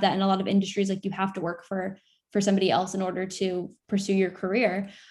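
A woman with an American accent talks very fast in a somewhat breathy, flat monotone. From Florida. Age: 20s. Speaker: content creator. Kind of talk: casual interview.

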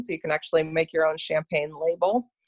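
A woman with an Ontario accent and ordinary pitch variation against a quiet background. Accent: Canadian (Ontario) English. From Canada, Toronto. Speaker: fundraising event planner. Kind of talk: casual interview.

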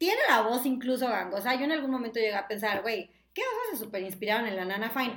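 Ordinary pitch variation and a bright, sharp tone come through, with audible room echo around the voice. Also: woman. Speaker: digital sales manager and former TV presenter. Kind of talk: casual chat.

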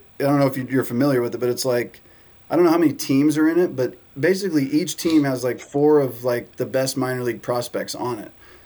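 A man speaks very fast in a dark, mellow tone with a Southern Californian accent. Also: medium pitch for a man, ordinary pitch variation. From US West Coast, San Diego. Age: 30s. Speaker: baseball content creator. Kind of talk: casual chat.

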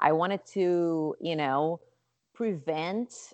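A woman speaks with a Portuguese accent. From Brazil, Rio de Janeiro. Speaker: nonprofit founder and yoga teacher. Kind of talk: interview.

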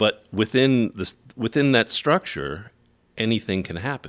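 In a very clean recording with a silent background and a dry, close sound with no echo, a man with an American accent speaks with vocal fry. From military brat, US and New Zealand. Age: 50s. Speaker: tour manager and novelist. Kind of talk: casual chat. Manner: halting.

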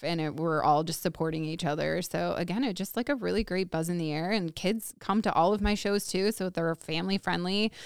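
An unremarkable speaking voice from a woman with an American accent, fairly low in pitch, fairly quick, with ordinary pitch variation, hardly any pauses, and a very clean recording over a silent background. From Woodstock area, US. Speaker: small business owner. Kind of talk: casual chat.

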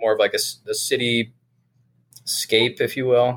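The recording is very clean, with a silent background. A man does the talking. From Vermont, South Burlington. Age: 30s. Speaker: military veteran. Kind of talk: casual interview.

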